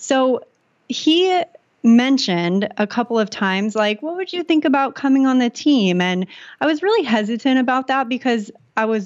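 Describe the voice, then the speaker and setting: A woman with an American accent, fairly high in pitch, lively in intonation and moderate in pace. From California, San Diego. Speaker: content creator and entrepreneur. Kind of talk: interview.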